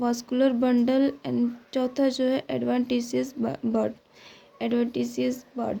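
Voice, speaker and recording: Very slowly, a woman speaks in a high voice with a dark, mellow tone. Her intonation stays monotone and flat. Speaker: biology tutor. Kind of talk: MCQ solution lecture. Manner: louder than usual.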